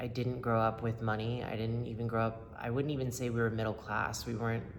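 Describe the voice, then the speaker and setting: Speaking with an American accent at a medium pitch, a man uses fairly even intonation amid noticeable background noise and audible room echo. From upstate New York and North Carolina. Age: 30s. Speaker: person in recovery sharing testimony. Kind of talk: testimony. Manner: halting, many fillers; casual, conversational.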